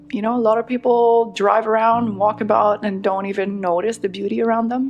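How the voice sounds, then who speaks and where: A woman with a French-Canadian accent, fairly high in pitch, at a fairly quick pace in a monotone, flat intonation. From Quebec, Laurentians. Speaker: trail runner and skier. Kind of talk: podcast interview.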